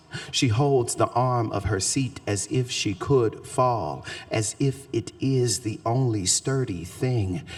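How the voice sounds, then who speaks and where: A very slow-talking man with a Southern accent, medium pitch and ordinary pitch variation. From US South, Shreveport, Louisiana. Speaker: poet. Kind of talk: poetry reading; talk to audience. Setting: stage with audience.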